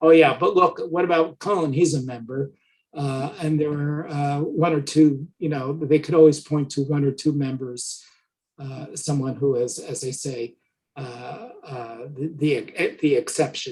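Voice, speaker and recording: With an American accent, the somewhat breathy speaker moves at a moderate pace with fairly even intonation, long, frequent pauses, and big swings in loudness. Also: man, fairly high pitch for a man. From New Jersey (Rutherford). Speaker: historian. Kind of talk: lecture Q&A. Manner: halting.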